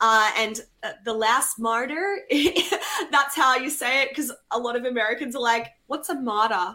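A woman with an Australian accent at a moderate pace, her pitch varying in an ordinary way. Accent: Australian, noticeable. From Australia, Melbourne. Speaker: rock and metal musician. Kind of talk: casual interview.

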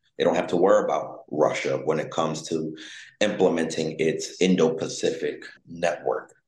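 Audible room echo fills the space. Within it, a man talks at a moderate pace. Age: 20s. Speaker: geopolitical risk analyst and author. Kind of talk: interview.

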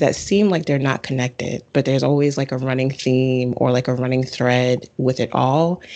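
A woman speaks with a New York accent at a moderate pace. The background is quiet. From Bronx, New York. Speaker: astrologer and author. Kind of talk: casual interview.

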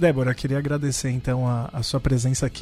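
In a São Paulo accent, a man talks at a medium pitch with monotone, flat intonation. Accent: Paulistano Brazilian Portuguese. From Brazil, São Paulo (Campo Limpo). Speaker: podcast co-host. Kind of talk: casual chat.

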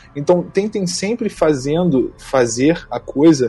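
With music in the background, a man speaks at a fairly high pitch. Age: 20s. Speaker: voice actor and music producer. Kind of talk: interview.

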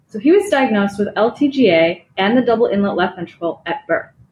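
With an American accent and lively intonation, a woman talks at a medium pitch in a normal speaking voice. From Chicago, US Midwest. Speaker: cardiology fellow. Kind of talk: medical case presentation.

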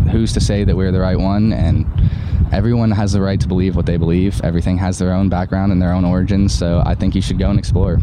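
A man with a very deep, low pitch, lively intonation, and a very fast pace, plus audible room echo and noticeable background noise. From Ireland. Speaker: university student. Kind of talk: casual chat.

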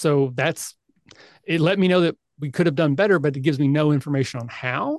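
In a normal speaking voice, a man with fairly high pitch and ordinary pitch variation talks at a fairly quick pace, the sound dry and close with no echo. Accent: American. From US South, rural Kentucky. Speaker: podcast host and convention organizer. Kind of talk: casual chat.

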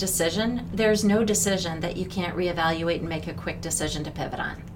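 Fairly quick speech in an American accent, with audible room echo. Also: woman. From US Midwest, Minneapolis. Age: 50s. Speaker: former finance executive. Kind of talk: interview.

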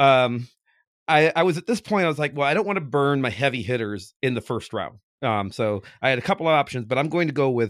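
An ordinary speaking voice from a man, fairly high in pitch, with lively intonation at a fairly quick pace on a very clean recording with a silent background. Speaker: podcast guest. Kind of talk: casual game chat about comics.

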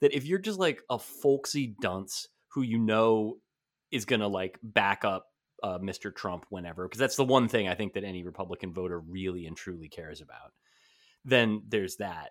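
In a very clean recording with a silent background, a man with an unremarkable speaking voice and an American accent talks at a moderate pace and fairly low pitch, with ordinary pitch variation and big swings in loudness. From New Jersey. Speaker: sports writer and podcast co-host. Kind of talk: casual chat.

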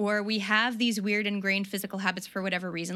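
A woman with an American accent speaks at a medium pitch in a bright, sharp tone, her intonation monotone and flat. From US South. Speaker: runner. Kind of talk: casual chat. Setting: video call.

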